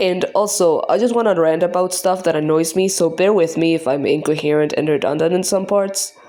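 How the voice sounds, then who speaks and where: Against noticeable background noise, a woman with a non-native accent speaks at a medium pitch and a fairly quick pace, her intonation fairly even, her loudness very even and her speech with hardly any pauses. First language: not English. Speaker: art youtuber. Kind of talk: scripted rant. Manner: halting.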